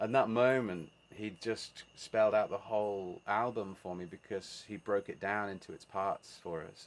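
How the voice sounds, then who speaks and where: The voice carries a Birmingham accent and fairly even intonation. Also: man. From England, Birmingham. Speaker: musician. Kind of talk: casual chat.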